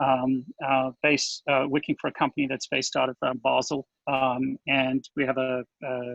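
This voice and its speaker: Against a quiet background, a man with a South African accent talks at a moderate pace. His pitch is fairly high, and the sound is dry and close with no echo. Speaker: agile coach. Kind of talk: conference talk. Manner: halting, many fillers.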